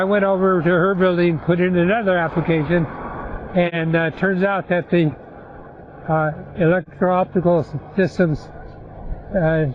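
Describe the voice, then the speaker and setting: Noticeable background noise under a man's high voice. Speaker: retired electronics worker, veteran. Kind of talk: personal life story told to family. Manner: halting, hesitant.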